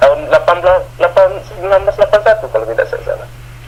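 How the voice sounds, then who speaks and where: A man talks over noticeable background noise. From Aceh, Indonesia. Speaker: property caretaker. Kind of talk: interview answer.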